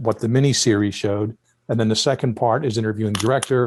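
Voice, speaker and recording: Speaking very fast with an American accent, a man keeps a medium pitch and fairly even intonation on a very clean recording with a silent background. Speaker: retired FBI profiler and forensic linguist. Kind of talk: interview. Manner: halting, with many fillers.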